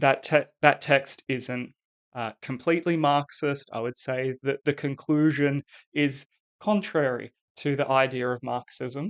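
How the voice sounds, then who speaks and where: Speaking fairly slowly with fairly even intonation, a man with an Australian accent uses a fairly high voice, and the sound is dry and close with no echo. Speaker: English teacher. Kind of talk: lecture. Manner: hesitant, many fillers.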